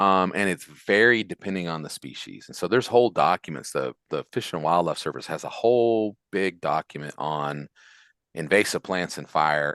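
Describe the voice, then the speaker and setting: A man with a West Virginia accent talks at a fairly quick pace in a very deep, low pitch. The sound is dry and close with no echo, over a quiet background. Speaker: forestry extension specialist. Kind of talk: Q&A after a lecture. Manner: casual, with fillers and repetitions.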